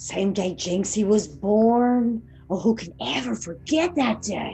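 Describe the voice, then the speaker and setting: With clear music in the background, a woman does a put-on character voice at a medium pitch and a fairly slow pace. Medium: stage play.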